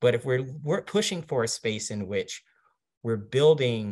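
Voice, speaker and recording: Man with an unremarkable speaking voice, a fairly slow pace and lively intonation on a very clean recording, silent background. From Washington DC. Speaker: marketing executive. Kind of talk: interview.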